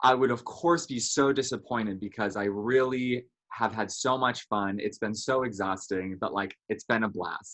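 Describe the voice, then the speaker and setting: Against a quiet background, a man speaks loudly at a medium pitch and moderate pace with a bright, sharp tone. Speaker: online reality game contestant. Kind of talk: casual interview answer.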